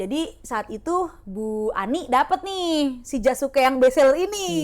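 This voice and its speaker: A woman speaks loudly in a high pitch with very wide pitch swings. Her pace is fairly slow. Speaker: podcast co-host. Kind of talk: casual chat, storytelling. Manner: animated.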